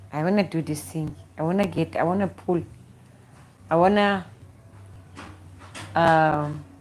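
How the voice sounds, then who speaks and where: Her pitch is fairly low for a woman, with ordinary variation. She leaves long, frequent pauses. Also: fairly slow pace. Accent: South African. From South Africa. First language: Xhosa. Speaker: YouTuber. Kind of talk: live stream chat. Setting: at home. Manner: halting, repetitive.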